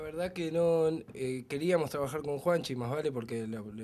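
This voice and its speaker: This man has a dark, mellow tone. He talks at a moderate pace with fairly even intonation. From Argentina, Buenos Aires. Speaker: rock band member. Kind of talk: casual interview. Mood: relaxed, pleased. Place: home room. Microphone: handheld.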